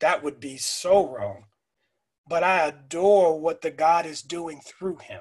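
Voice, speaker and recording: Very slowly, a man speaks in a high voice with fairly even intonation and big swings in loudness. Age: 40s. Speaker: school principal. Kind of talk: casual chat.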